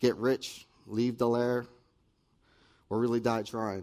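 A man with an American accent speaks at a moderate pace and medium pitch, his dark, mellow tone delivered in a monotone, flat way. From New Jersey. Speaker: recovery ministry member giving testimony. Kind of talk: testimony. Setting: stage with audience.

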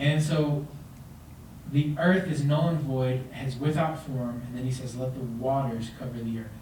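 There is noticeable background noise and audible room echo around a man with an American accent. He speaks fairly slowly at a medium pitch with fairly even intonation. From Texas. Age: 20s. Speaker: young pastor. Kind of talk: sermon.

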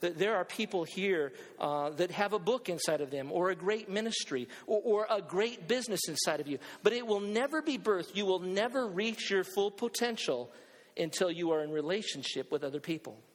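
A man talks in a high voice at a fairly quick pace. His intonation is lively. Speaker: pastor; preacher. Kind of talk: sermon to a live congregation, building to urgent exhortation. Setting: church with congregation, also streamed online. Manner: animated, emphatic, rallying the crowd with repeated calls and questions.

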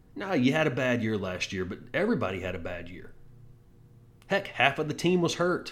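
An animated man at a fairly quick pace, with very wide pitch swings and big swings in loudness, over noticeable background noise. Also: medium pitch for a man. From Texas. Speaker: sports podcast host. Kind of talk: casual sports talk monologue.

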